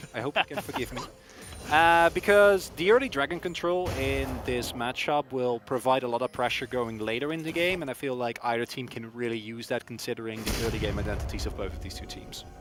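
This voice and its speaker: A man with a non-native accent, medium pitch, lively intonation and a fairly quick pace. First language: not English. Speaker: esports caster. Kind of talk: live commentary.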